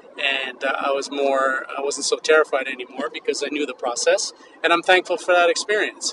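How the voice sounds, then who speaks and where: A man talking at a fairly quick pace, with noticeable background noise. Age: 50s. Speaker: podcast host, vintage clothing entrepreneur. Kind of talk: solo educational monologue. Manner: casual, with frequent fillers.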